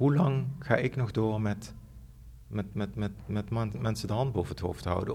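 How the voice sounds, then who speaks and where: A man's voice at a moderate pace, fairly low-pitched, with vocal fry. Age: 40s. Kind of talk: interview. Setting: empty theatre studio. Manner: halting.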